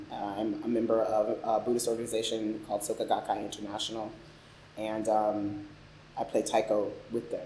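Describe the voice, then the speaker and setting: With an American accent, a man talks at a fairly quick pace and fairly low pitch. His intonation is monotone and flat, his tone dark and mellow. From Philadelphia and Chicago, US. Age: 30s. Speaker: oral history interviewee. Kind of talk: oral history interview. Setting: library recording room.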